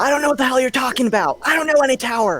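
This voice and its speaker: The put-on character voice is raspy and high-pitched. Its pace is very fast. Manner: gruff, dismissive.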